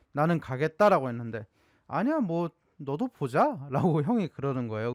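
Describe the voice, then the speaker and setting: A man with a Gyeongsang accent, fairly high pitch and lively intonation, at a moderate pace, in a dry, close sound with no echo on a very clean recording with a silent background. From South Korea, Gyeongsang region. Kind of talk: casual storytelling to camera.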